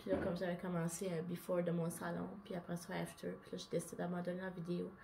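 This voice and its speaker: A woman with a Quebec accent speaks at a fairly quick pace and a fairly low pitch. Her intonation is monotone and flat, with noticeable background noise. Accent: Québécois French. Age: 30s. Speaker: vlogger. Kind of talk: personal monologue vlog. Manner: casual. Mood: open, confessional, a bit emotional. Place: home room.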